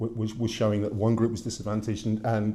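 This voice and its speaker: Talking at a very fast pace, a man with a British accent has a medium-pitched, somewhat breathy voice in a dark, mellow tone, delivered in a flat monotone. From Britain. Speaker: academic lecturer. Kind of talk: lecture. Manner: halting, many fillers.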